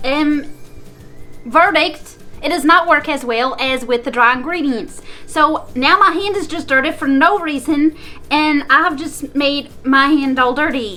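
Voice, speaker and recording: A woman's high, raised, projected voice at a fairly slow pace with ordinary pitch variation, music playing in the background. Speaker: cooking vlogger. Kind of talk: casual cooking tutorial. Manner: chatty, rambling; hesitant fillers.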